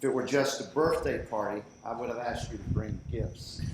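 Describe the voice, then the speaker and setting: A man with a Southern US accent talks at a moderate pace in a medium pitch. Noticeable background noise and audible room echo surround his voice. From US South. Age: 70s. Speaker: birthday honoree. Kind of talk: speech at a celebration. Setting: party with audience.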